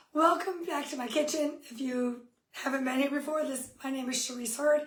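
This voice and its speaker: A woman talks at a high pitch amid audible room echo. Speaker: cooking demo host, kitchenware consultant. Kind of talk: live cooking demo. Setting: home kitchen, live stream. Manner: friendly, chatty.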